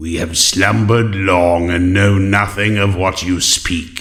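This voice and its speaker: A man speaks in a put-on character voice that is very deep and resonant, at a fairly slow pace. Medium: read story. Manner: slow, drowsy.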